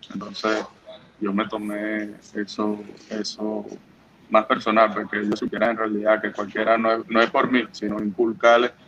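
Noticeable background noise sits behind this recording. A man speaks at a moderate pace with monotone, flat intonation. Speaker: professional baseball pitcher. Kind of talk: interview. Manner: halting, many fillers and repetitions.

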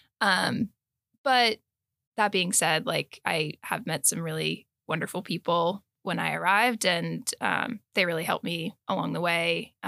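In a very clean recording with a silent background and a dry, close sound with no echo, a woman with an American accent speaks at a fairly slow pace, her fairly low pitch showing ordinary variation, a bright, sharp tone and vocal fry. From US, most recently California. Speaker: graduate student and student association member. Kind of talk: casual interview.

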